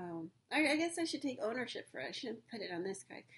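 A woman speaks in a somewhat breathy voice. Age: 40s. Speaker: podcaster. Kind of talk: personal monologue. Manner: halting.

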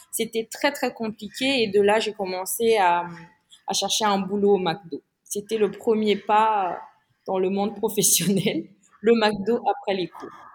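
A woman at medium pitch, very slow in pace, with fairly even intonation. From Madagascar. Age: 30s. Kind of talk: interview.

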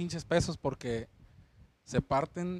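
On a very clean recording with a silent background, a man talks at a fairly slow pace with lively intonation. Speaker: podcast co-host, bar worker. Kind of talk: casual chat.

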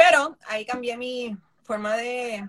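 A woman speaks with a high pitch. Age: 50s. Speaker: makeup artist. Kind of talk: interview.

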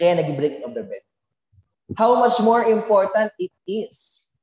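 A man speaks at a moderate pace with lively intonation. His pitch is high for a man. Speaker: preacher. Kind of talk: sermon, preacher in full flow, Taglish. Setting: church with congregation. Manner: animated, call-and-response, energetic; jokes lightly, warm and exhortative.

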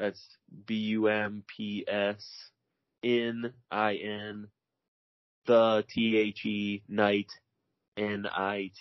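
In an American accent, a man speaks with monotone, flat intonation. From US Midwest, Rockford, Illinois. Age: 30s. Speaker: rollerblader. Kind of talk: casual chat. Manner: halting, many fillers.

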